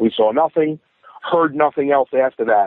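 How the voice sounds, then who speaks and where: Here a man talks at a moderate pace. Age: 30s. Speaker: hunter. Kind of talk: testimony. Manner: halting.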